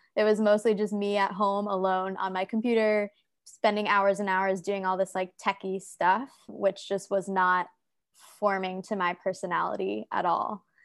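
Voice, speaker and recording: A woman in an American accent, flat and monotone, on a very clean recording against a silent background. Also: medium pitch for a woman, moderate pace. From United States. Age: 20s. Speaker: content creator and health coach. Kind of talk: casual interview chat.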